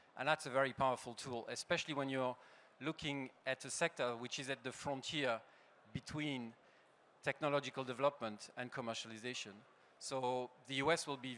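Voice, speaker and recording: Speaking in a French accent, a man delivers his words at a fairly quick pace with a medium pitch, fairly even intonation and a bright, sharp tone. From France. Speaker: industry association head. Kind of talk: conference panel talk. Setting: stage with audience.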